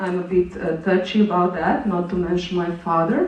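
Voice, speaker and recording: Noticeable background noise and audible echo from the room surround a woman as she talks. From Slovenia. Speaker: conference presenter. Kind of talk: conference presentation. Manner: halting, many fillers.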